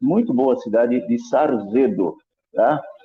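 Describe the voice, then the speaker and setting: A man with a São Paulo accent. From Brazil, São Paulo. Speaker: Bible prophecy speaker. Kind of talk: online discussion / talk. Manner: halting, self-correcting.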